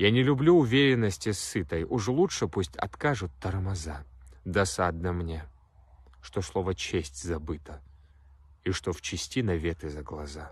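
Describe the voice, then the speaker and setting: A man speaks in a very deep, low, somewhat breathy voice with lively intonation. His pace is fairly slow, with long, frequent pauses and a dry sound with no echo. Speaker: poetry reader. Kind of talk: poem reading. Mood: serious, intense. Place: open country. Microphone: phone near.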